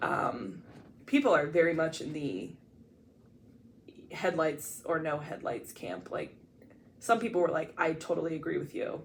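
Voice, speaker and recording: A woman's very deep, low pitch with vocal fry and lively intonation, in an American accent, at a fairly slow pace with long, frequent pauses and audible room echo. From Ohio, US Midwest (small town). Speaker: podcast co-host. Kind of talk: casual chat. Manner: loud.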